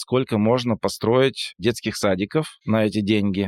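A man speaks at a very slow pace with a fairly low pitch and ordinary pitch variation. The sound is dry and close with no echo, on a very clean recording with a silent background. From Perm region, Urals, Russia. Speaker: brand designer. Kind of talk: casual interview conversation.

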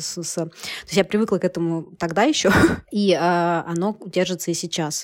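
A woman talks in a fairly low voice with monotone, flat intonation. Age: 30s. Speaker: media publisher and entrepreneur. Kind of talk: casual interview chat.

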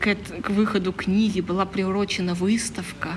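A woman speaks at a fairly slow pace with monotone, flat intonation, amid audible room echo and noticeable background noise. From northern Leningrad Oblast, Russia (Vyborg district). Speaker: comics artist and illustrator. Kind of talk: casual interview. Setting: outdoors in a courtyard.

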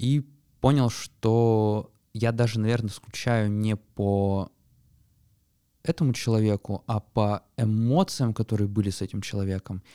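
A man's dark, mellow voice comes through a very clean recording with a silent background and a dry, close sound with no echo. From Yekaterinburg, Russia. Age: 20s. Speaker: podcast co-host, data scientist. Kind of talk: casual chat.

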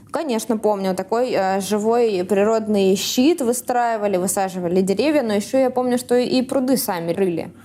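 A woman with a dark, mellow tone speaks at a moderate pace with hardly any pauses. Her loudness stays very even throughout. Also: fairly high pitch for a woman, ordinary pitch variation. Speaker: podcast host.

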